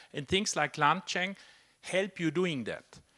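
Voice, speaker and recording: A man's bright, sharp voice with a non-native accent. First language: not English. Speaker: software developer and speaker. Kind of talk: tech talk discussion. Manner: halting, many fillers.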